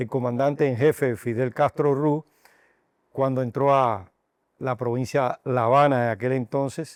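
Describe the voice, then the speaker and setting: With fairly even intonation, a man talks in an unremarkable speaking voice at medium pitch, the sound dry and close with no echo. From Cuba, Madruga near Havana. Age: 60s. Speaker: doctor and university health sciences director. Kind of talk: interview.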